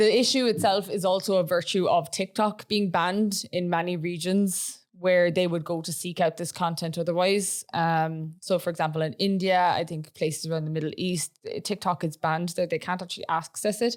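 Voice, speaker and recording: A woman with an Irish accent speaks at a fairly low pitch and moderate pace, with fairly even intonation and hardly any pauses. The recording is very clean over a silent background. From Ireland. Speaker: podcast co-host, AI content creator. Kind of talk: casual chat.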